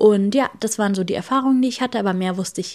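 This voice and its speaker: This woman's voice has a dark, mellow tone and ordinary pitch variation. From Germany. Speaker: podcast host. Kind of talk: solo podcast monologue.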